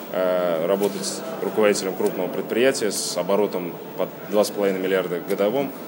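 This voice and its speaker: There is noticeable background noise and audible room echo around this man. His pitch is fairly low and his intonation fairly even. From Kazan, Tatarstan, Russia. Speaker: district head, local official. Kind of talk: interview. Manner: hesitant, many fillers.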